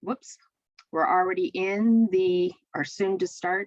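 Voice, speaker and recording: This woman has an unremarkable speaking voice, medium in pitch with ordinary pitch variation, and she talks at a fairly slow pace. The sound is dry and close, with no echo. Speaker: state education assessment staff presenter. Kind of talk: webinar presentation.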